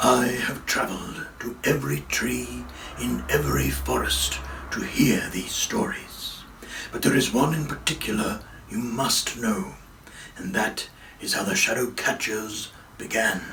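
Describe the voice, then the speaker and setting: Over light background noise, a man does a put-on character voice at a fairly slow pace. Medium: read story. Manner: slow, solemn.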